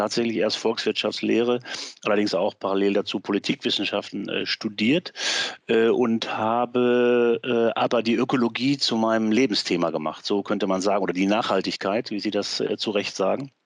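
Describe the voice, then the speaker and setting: An unremarkable speaking voice moves at a moderate pace with fairly even intonation in a dry, close sound with no echo. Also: man. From Westphalia, Germany. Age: 60s. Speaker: professor and former politician. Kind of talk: interview.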